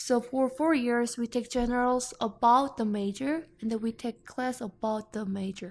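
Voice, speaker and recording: A woman with a Korean accent talks at a high pitch with fairly even intonation and hardly any pauses. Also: moderate pace. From South Korea. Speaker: international student. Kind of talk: interview. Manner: halting.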